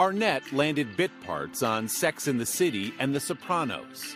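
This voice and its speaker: With music in the background, a man speaks at a fairly high pitch and a fairly slow pace, his voice making very wide pitch swings. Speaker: TV interviewer. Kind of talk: TV news feature narration.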